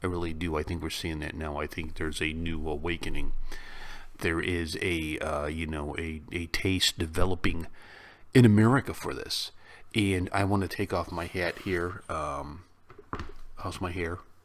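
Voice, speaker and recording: A man speaks with a Chicago accent and a very deep, low pitch. His intonation stays fairly even. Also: moderate pace. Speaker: YouTube reaction host. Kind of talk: casual reaction commentary.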